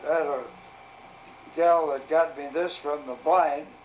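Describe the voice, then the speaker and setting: There is noticeable background noise behind this voice. A man with an American accent speaks fairly slowly at a fairly high pitch. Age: 90s. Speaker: retired arcade game operator. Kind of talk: casual interview.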